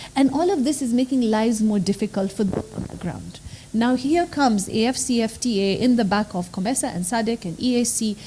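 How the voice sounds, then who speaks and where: A soft-spoken voice moving at a fairly quick pace over noticeable background noise. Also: woman, fairly high pitch for a woman, ordinary pitch variation. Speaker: law professor. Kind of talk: panel discussion.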